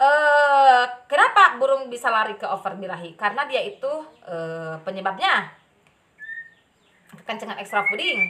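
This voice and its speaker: Speaking at a moderate pace in a strong Sundanese accent, a woman with a high pitch swings very widely in pitch and greatly in loudness, leaving long, frequent pauses. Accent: strong Sundanese accent in Indonesian. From West Java (Sundanese). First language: Sundanese (speaking Indonesian). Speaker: bird keeping vlogger. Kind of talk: casual tutorial. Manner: halting, many fillers.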